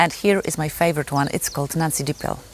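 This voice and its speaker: Fairly even in intonation, a woman speaks in a very deep, low pitch with a Polish accent. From Poland. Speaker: gardening youtuber. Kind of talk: casual tutorial. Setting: outdoors in garden. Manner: halting, frequent fillers.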